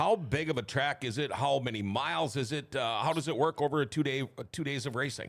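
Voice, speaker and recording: Here is a man with an Upper Midwest accent. His pitch is fairly high. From Minnesota (Thief River Falls). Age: 60s. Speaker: talk show host. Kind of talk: casual chat. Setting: studio.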